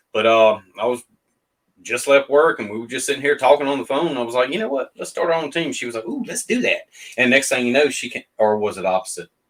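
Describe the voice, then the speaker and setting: Talking at a very fast pace, a man has a Southern US accent. His pitch is medium and his intonation lively. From Mississippi. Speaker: paranormal investigator. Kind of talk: casual interview chat. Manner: halting, many fillers.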